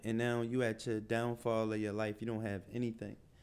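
The speaker is a man. He talks at a moderate pace with a medium pitch. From Philadelphia. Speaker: entrepreneur. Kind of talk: interview.

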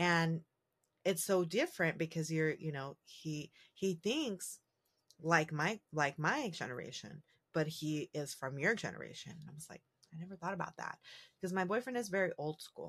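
Her loudness swinging widely, a woman speaks at a moderate pace in an unremarkable speaking voice, fairly low in pitch with ordinary pitch variation. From San Diego, US, Mexican and Puerto Rican heritage. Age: 30s. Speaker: podcast host. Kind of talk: casual monologue. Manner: casual, many fillers.

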